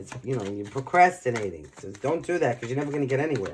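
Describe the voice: A man talks at a fairly quick pace with lively intonation. His tone is slightly mellow and his pitch is medium.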